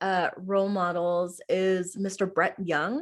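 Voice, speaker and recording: A woman speaks at a very slow pace with an American accent. The background is quiet. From Oklahoma. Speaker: middle school theater teacher. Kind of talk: interview. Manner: casual, many fillers (um, like).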